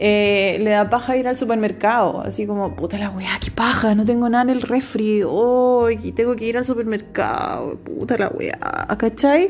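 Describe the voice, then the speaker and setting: Noticeable background noise sits behind a woman with a fairly high voice. She talks at a fairly slow pace with hardly any pauses. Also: ordinary pitch variation. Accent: Chilean. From Chile, Rancagua. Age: 30s. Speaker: podcaster. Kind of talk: casual monologue. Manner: casual, slangy.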